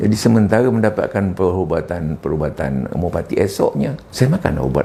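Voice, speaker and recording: A man talks at a fairly quick pace with very wide pitch swings. Noticeable background noise is present. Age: 70s. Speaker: retired school principal, patient testimonial. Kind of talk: testimony.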